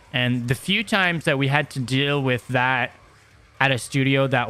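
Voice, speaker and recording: A man speaks at a moderate pace in a medium pitch. His tone is bright and sharp. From Quebec, Montreal. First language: French. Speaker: metal podcaster and former band musician. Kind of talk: casual solo podcast chat. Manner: hesitant, many fillers and repeated words.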